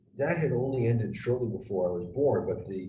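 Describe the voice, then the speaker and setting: A man with an American accent speaks at a moderate pace in a fairly low pitch, his dark, mellow tone somewhat breathy. His pitch swings very widely, and audible room echo surrounds him. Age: 60s. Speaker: retired intelligence officer and geopolitical analyst. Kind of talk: conversational analysis interview. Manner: hesitant, many fillers and restarts.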